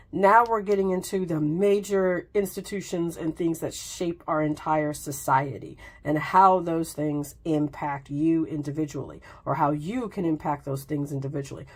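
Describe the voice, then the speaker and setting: A woman's very deep, low voice at a moderate pace, with ordinary pitch variation and hardly any pauses. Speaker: tarot reader. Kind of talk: casual talk to camera. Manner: casual, conversational.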